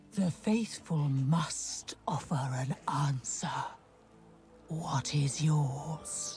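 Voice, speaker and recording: A put-on character voice in a low-to-middle pitch speaks at a very slow pace. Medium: video game. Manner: solemn, menacing.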